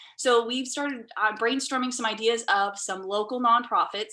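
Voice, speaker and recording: The woman's tone is bright and sharp, with fairly even intonation. She talks at a fairly quick pace. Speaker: Rotary club member. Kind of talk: club meeting report. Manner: fast.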